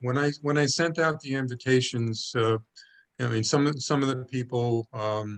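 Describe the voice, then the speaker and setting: In an American accent, a man speaks at a moderate pace with a medium pitch and ordinary pitch variation. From Brooklyn, New York. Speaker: project coordinator. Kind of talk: meeting briefing. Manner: halting.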